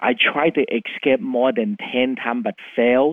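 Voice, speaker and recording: A man with a Vietnamese accent talks at a moderate pace in a medium pitch. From Vietnam, Chinese heritage. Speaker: CEO of education company. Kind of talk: interview. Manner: animated.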